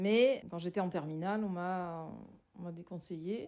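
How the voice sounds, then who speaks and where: Speaking at a fairly slow pace, a woman has a medium pitch, a dark, mellow tone and ordinary pitch variation. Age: 60s. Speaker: sociologist, former social worker. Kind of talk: personal testimony interview. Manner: halting, many hesitations.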